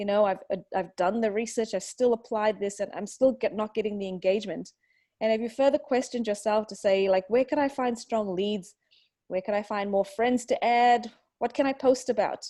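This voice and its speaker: With an Australian accent, a woman speaks at a fairly quick pace in a dark, mellow tone, her fairly high pitch showing ordinary variation against a quiet background. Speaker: online marketing webinar presenter. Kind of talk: webinar presentation.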